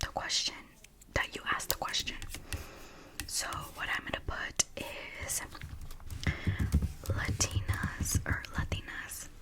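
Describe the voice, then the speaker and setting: Whispered words come at a very slow pace, broken by long, frequent pauses, with noticeable background noise behind them. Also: woman. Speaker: ASMR creator. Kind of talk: casual talk to camera. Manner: soft-spoken.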